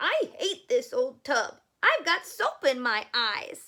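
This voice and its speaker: In a raised, projected put-on character voice, the speaker moves very slowly while the pitch swings very widely. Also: woman, extremely high pitch for a woman. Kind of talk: bedtime story. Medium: read story.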